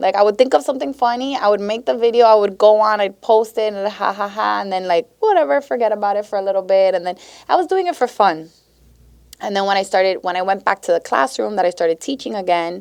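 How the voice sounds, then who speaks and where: In a Miami accent, a woman with a medium pitch speaks very fast with lively intonation and an animated tone, against a quiet background. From Miami, Florida (Westchester). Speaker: teacher and social media creator. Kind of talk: casual chat.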